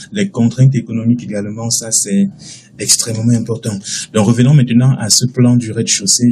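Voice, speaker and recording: Over noticeable background noise, a man at a medium pitch talks at a fairly quick pace with ordinary pitch variation. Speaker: architecture software instructor. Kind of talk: tutorial. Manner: fast.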